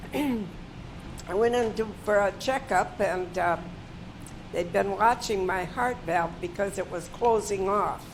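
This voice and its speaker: With noticeable background noise, a woman of medium pitch speaks at a very slow pace with ordinary pitch variation. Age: 90s. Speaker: heart patient. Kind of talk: testimony.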